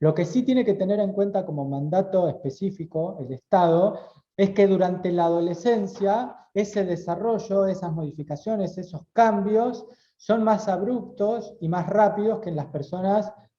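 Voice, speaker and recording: Speaking at a fairly slow pace, a man uses lively intonation and a dark, mellow tone. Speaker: lawyer and university lecturer. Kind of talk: lecture. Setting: auditorium talk, also streamed on video call.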